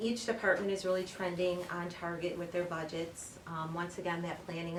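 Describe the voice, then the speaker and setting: A fairly low-pitched woman at a moderate pace with monotone, flat intonation, against noticeable background noise and audible room echo. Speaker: municipal finance director. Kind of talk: budget presentation at a public meeting. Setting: village board meeting.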